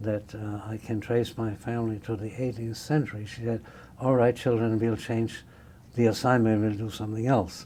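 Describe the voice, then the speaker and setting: A dark, mellow tone with monotone, flat intonation at a moderate pace. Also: man. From Germany, Nuremberg. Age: 80s+. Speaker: Holocaust-era refugee, oral history interviewee. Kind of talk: oral history interview. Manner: halting.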